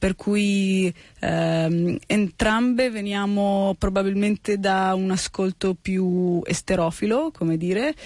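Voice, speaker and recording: Recorded with a dry, close sound with no echo and a quiet background, a woman speaks at very even loudness. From Italy, born in the US. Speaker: musician and songwriter. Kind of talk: radio interview. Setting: radio studio.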